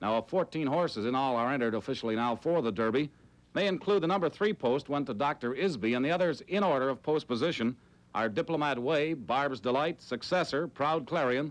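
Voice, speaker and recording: A man speaks in an ordinary speaking voice at a fairly high pitch, with lively intonation, a fairly quick pace and very even loudness, on a very clean recording with a silent background. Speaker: TV sports anchor. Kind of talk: TV sports report.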